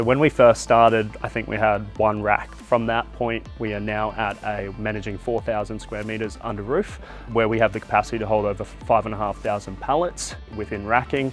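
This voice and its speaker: Faint music plays in the background. The speech moves at a moderate pace with hardly any pauses and ordinary pitch variation. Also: man, fairly low pitch for a man. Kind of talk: interview answer. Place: factory. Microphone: lapel.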